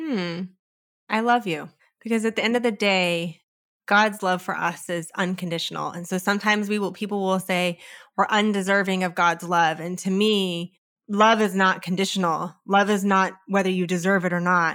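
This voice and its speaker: A woman with an ordinary speaking voice and an American accent talks at a moderate pace in a medium pitch. Her intonation is fairly even, and the recording is very clean with a silent background. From California. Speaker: author and career consultant. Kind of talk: interview.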